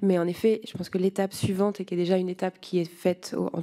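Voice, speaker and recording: A woman talks at a very fast pace with monotone, flat intonation. Her medium-pitched voice has a dark, mellow tone. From France. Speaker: lobbying researcher. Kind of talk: parliamentary hearing testimony. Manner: hesitant.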